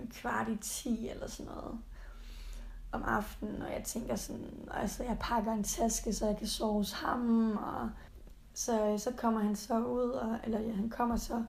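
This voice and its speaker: At a fairly slow pace, a woman speaks with audible room echo. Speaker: podcast co-host. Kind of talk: casual chat; recorded mock phone call.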